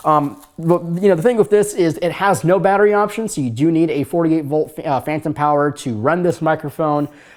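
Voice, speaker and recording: A man talks at a fairly quick pace. Background noise is noticeable throughout. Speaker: YouTube tech reviewer. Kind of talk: product review. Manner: casual, with many fillers.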